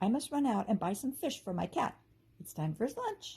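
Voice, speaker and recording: A woman's high, put-on character voice at a fairly quick pace, with very wide pitch swings. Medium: read story. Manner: warm, fussing.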